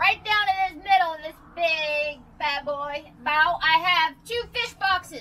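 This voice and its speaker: Projecting her voice, a woman speaks at a fairly slow pace in a bright, sharp tone with ordinary pitch variation over light background noise. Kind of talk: tour guide explanation.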